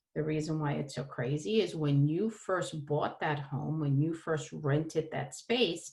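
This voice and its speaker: A woman with a New York accent talks at a fairly slow pace in a fairly low pitch. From New York City (Brooklyn). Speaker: holistic therapist. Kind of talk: presentation.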